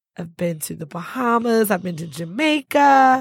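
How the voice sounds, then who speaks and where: Lively intonation in an American accent. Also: woman. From Detroit. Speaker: marketing executive. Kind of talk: casual interview. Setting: studio.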